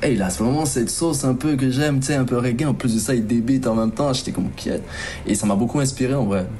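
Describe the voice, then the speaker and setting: A man at a medium pitch, animated in tone, at a very fast pace with ordinary pitch variation, amid audible room echo and noticeable background noise. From Ivory Coast (Abidjan), then Normandy, France as a teen. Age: 30s. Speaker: rapper. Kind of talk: interview. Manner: casual, slangy, animated.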